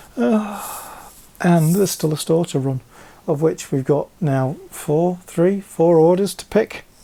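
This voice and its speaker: Speaking at a fairly slow pace, a man has a high pitch, a dark, mellow tone and ordinary pitch variation. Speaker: LEGO reseller vlogger. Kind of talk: casual vlog. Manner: hesitant, many fillers; hyper, animated.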